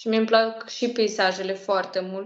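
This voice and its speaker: Against a quiet background with audible room echo, a woman with a Russian accent speaks at a medium pitch and moderate pace in a monotone, flat intonation. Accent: Russian accent in Romanian. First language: Russian (speaking Romanian). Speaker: language project co-creator; interview guest. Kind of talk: interview; interview answer. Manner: halting. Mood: warm, relaxed. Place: home room. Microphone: video call.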